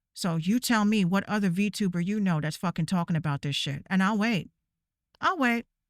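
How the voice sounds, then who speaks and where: In a very clean recording with a silent background, a woman's animated, medium-pitched voice shows ordinary pitch variation in a dry, close sound with no echo. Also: moderate pace. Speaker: VTuber streamer. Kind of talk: rant. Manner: loud, yelling.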